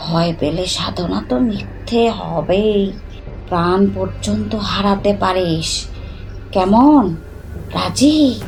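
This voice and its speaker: A woman puts on a character voice at a medium pitch and a very slow pace. Background noise is clear. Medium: audio drama. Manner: abrupt, scolding, volatile.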